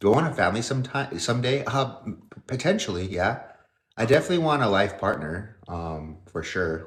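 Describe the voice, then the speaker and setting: The speaker uses a somewhat breathy voice with an American accent, a fairly quick pace and very wide pitch swings, with audible room echo. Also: man, fairly low pitch for a man. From northern Nevada, US. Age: 30s. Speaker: fitness model and livestreamer. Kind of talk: casual livestream chat. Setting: livestream at home. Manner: casual, hesitant with fillers and repeats.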